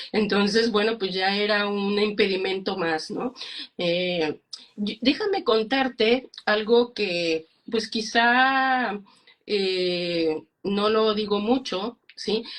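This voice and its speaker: A very slow-speaking woman with a medium pitch and ordinary pitch variation. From Mexico. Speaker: psychologist and speaker. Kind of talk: interview. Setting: Instagram live video call. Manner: halting.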